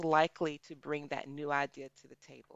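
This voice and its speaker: Speaking with an American accent at a moderate pace, the woman has a very deep, low pitch. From US, small rural town. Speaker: pharmaceutical research executive and epidemiologist. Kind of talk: casual interview.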